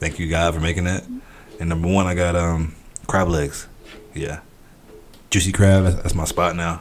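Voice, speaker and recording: With an American accent, a man speaks in a very deep, low voice and a monotone, flat intonation, leaving long, frequent pauses amid audible room echo. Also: moderate pace. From US South, outskirts of Atlanta, Georgia. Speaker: podcast guest. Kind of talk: casual chat.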